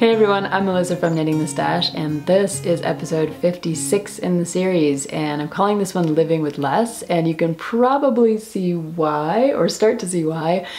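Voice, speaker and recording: Music plays in the background as a woman speaks at a fairly low pitch. Her pace is moderate and her pitch variation ordinary. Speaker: knitting podcast host. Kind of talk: casual vlog chat. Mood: cheerful, laughing. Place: empty room.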